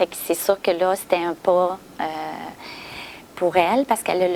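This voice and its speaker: Noticeable background noise runs behind the speech. A woman talks with a medium pitch. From Quebec, Gaspésie. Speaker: adoptee who found birth family. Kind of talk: interview testimony. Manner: halting.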